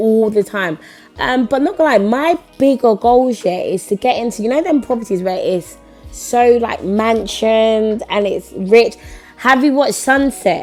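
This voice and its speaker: Music plays in the background as a woman speaks in an enthusiastic tone, fairly high-pitched with lively intonation. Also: fairly slow pace. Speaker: property investor, rent to rent business owner. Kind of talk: interview answer. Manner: casual, enthusiastic.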